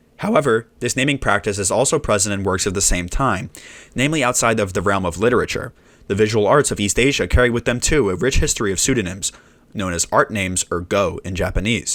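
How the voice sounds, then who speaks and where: A man mumbling at a very fast pace, fairly low in pitch, with ordinary pitch variation. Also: very clean recording, silent background. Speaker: musician, video essayist. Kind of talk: video essay narration, read from script. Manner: mumbled in places.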